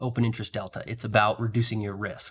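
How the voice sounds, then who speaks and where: In a very clean recording with a silent background, a man with a medium-pitched, somewhat breathy voice talks at a fairly quick pace. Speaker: trading streamer. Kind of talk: live trading commentary. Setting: live stream. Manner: fast.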